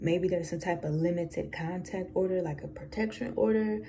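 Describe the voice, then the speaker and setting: Lively intonation marks this woman's speech at a moderate pace. An audible room echo surrounds her. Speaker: tarot reader. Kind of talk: tarot reading. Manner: casual, conversational with fillers.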